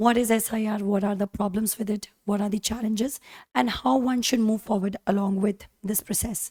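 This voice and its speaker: A woman's somewhat breathy voice with an Indian accent, fairly high and dark, mellow in tone, at a fairly quick pace with fairly even intonation, dry and close with no echo. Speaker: teacher. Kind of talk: lecture.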